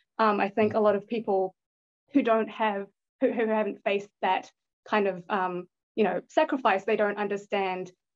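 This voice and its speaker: A woman with a New Zealand accent speaks at a fairly quick pace, her medium-pitched voice following a fairly even intonation. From born in Thailand, grew up in New Zealand. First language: Thai. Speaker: bitcoin investor and educational video creator. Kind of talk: podcast interview.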